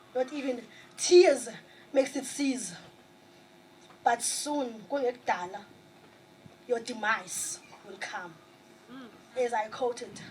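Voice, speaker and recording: With a South African accent, a woman speaks at a fairly slow pace and a high pitch, leaving long, frequent pauses, with ordinary pitch variation, big swings in loudness and noticeable background noise. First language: Xhosa. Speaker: spoken word poet. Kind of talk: poetry performance.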